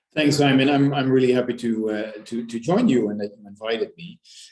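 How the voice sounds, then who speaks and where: A man speaks at a medium pitch and a moderate pace. He has a Dutch accent. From Netherlands. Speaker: business executive. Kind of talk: interview. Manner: halting, many repetitions.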